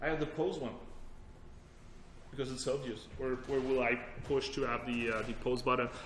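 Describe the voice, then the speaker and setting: A man talks at a fairly quick pace and medium pitch with ordinary pitch variation, amid noticeable background noise and audible room echo. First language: French. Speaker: technology evangelist, workshop presenter. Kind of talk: technical workshop presentation. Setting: workshop room with audience. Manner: casual, conversational with fillers.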